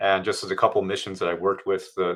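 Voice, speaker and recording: A man with an American accent. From US. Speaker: scientist. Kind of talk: interview. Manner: halting.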